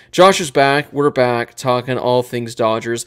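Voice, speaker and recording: A man's moderate-paced speech comes over a quiet background. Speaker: podcast host. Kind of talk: sports podcast commentary. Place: home room. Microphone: studio mic.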